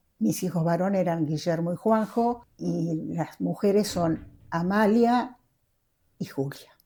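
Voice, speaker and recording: A woman speaks at a very slow pace. Her voice is fairly low in pitch, with a dark, mellow tone. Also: ordinary pitch variation. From Argentina, Córdoba province, moved to La Plata as a youth. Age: 80s+. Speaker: interviewee, Basque centre founding member. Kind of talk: oral history interview. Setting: at home in living room.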